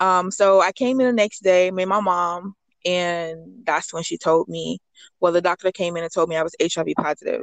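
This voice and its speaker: Dry and close with no echo, a woman's plain, everyday voice sits fairly low, moving at a moderate pace with fairly even intonation. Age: 20s. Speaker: anonymous guest sharing personal HIV story. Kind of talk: personal testimony interview.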